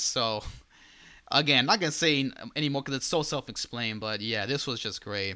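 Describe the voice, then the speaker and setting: A man speaks at a fairly quick pace in an animated tone, his medium pitch carrying ordinary variation and a bright, sharp tone on a very clean recording with a silent background. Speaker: gaming YouTuber. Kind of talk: casual video commentary. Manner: stutters often.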